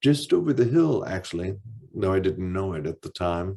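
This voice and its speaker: Over a quiet background, a man with a dark, mellow tone sounds somewhat breathy, his intonation lively. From Michigan Upper Peninsula, Ironwood. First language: deaf speaker, lost hearing as infant. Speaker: author. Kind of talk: reading aloud.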